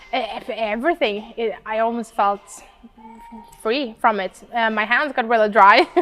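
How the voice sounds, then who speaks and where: A woman talks with ordinary pitch variation. Noticeable background noise is present. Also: fairly high pitch for a woman, moderate pace. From Sweden. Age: 20s. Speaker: model and influencer. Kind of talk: interview. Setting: in person interview.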